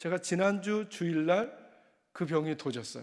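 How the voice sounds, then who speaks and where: On a very clean recording with a silent background, a man speaks in a high voice. He keeps a moderate pace with ordinary pitch variation. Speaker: senior pastor. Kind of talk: sermon. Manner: unscripted, without notes.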